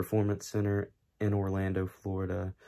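Against a quiet background, a man talks at a moderate pace in a fairly low, dark, mellow voice with monotone, flat intonation. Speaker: YouTuber. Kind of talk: vlog. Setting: at home late at night. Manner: hushed, keeping voice down; hesitant, many fillers. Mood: disappointed, stunned. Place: home room. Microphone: phone near.

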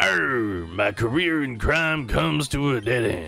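A man's put-on character voice, fairly slow, with very wide pitch swings over faint music in the background. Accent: Southern US. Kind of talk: reads game text aloud in a playful character voice.

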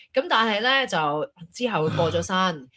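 A woman's bright, sharp voice at medium pitch, with very wide pitch swings over a quiet background. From Hong Kong. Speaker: talk show co-host. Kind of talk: casual chat. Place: home room. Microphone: studio mic.

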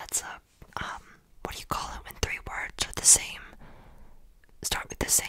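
A woman whispers. Her tone is playful. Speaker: YouTuber and ASMR creator. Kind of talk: casual talk to camera. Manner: playful, chatty, self-deprecating. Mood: playful, joking. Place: home room. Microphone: studio mic.

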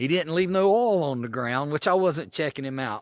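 The intonation is lively, the background quiet and the sound dry with no echo. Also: man. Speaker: motorcycle camper vlogger. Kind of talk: casual vlog chat. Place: forest. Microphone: phone near.

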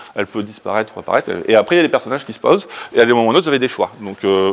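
A man rattles along at a very fast pace.

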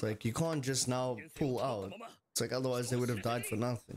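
Noticeable background noise fills the clip. The voice is a man's. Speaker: reaction streamer. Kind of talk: casual reaction commentary. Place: home room.

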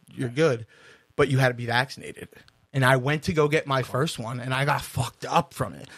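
Here is a man with a normal speaking voice at a medium pitch. He talks at a fairly quick pace with fairly even intonation. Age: 30s. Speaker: podcast co-host. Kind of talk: casual chat.

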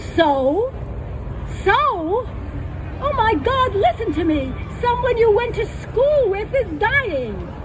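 A woman speaks at a very slow pace in an extremely high pitch with very wide pitch swings. Long, frequent pauses break up her speech over noticeable background noise. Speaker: poet. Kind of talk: poem reading, reflective. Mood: wry, humorous. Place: stage.

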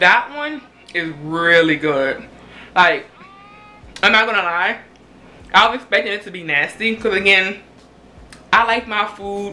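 A woman with a medium pitch speaks at a fairly slow pace, her lively intonation broken by long, frequent pauses and big swings in loudness. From US South, Louisiana. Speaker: YouTuber. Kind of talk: casual cooking vlog. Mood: relaxed, pleased after tasting. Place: kitchen. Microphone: phone near.

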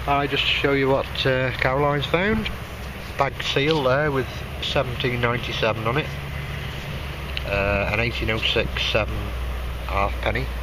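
A man talks at a very slow pace, with long, frequent pauses. The sound is dry with no echo, and background noise is noticeable. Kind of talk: casual vlog chat. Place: open country. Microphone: phone near.

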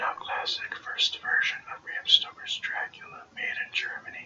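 Soft-spoken and whispering, a man talks at a moderate pace amid noticeable background noise. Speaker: video store clerk roleplay. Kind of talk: reading a video-tape description in the style of a home video catalogue. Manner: whispered, soft-spoken. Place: home room. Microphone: webcam.

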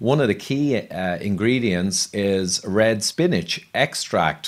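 A man with an Irish accent, fairly low in pitch, lively in intonation and fairly slow in pace, over a quiet background. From Ireland. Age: 50s. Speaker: health podcast host. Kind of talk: interview. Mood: friendly, engaged. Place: home room. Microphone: studio mic.

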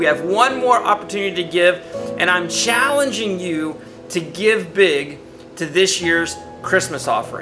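Clear music plays in the background as a man speaks at a moderate pace. He has a high pitch and ordinary pitch variation. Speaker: pastor. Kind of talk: church appeal to the congregation. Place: studio.

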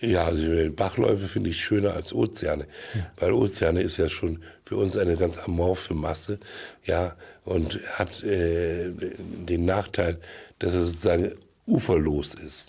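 Somewhat breathy, a man speaks with a very deep, low pitch and fairly even intonation. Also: fairly slow pace. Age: old. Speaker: actor and film producer; actor. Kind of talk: comedic TV interview. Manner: halting. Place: studio. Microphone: studio mic.

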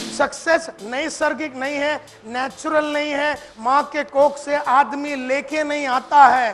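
Faint music plays in the background as a man speaks at a very slow pace. His pitch is extremely high, with fairly even intonation. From India. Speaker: motivational speaker. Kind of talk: motivational seminar talk. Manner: fiery. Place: hall. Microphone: lapel.

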